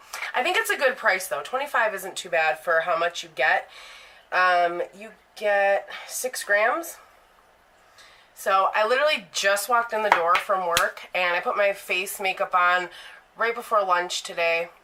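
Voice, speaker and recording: A woman at a fairly slow pace, medium pitch and ordinary pitch variation, with noticeable background noise. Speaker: beauty vlogger. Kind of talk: product review. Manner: casual, rambling self-corrections.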